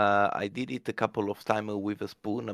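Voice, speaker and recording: Speaking at a moderate pace, a man with an Italian accent has a fairly low pitch. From Italy. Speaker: community member on a mining podcast. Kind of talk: casual chat. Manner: halting with many fillers.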